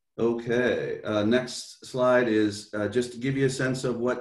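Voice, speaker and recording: The man's intonation stays fairly even. Room echo is audible around him. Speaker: school district official. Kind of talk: presentation.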